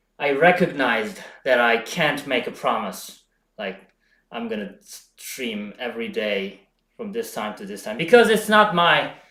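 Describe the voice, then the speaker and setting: Amid audible room echo, a man speaks fairly slowly in a fairly high voice, with very wide pitch swings, big jumps in loudness and long, frequent pauses. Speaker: home bodybuilding streamer. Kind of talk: live stream chat. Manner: halting, frequent self-corrections.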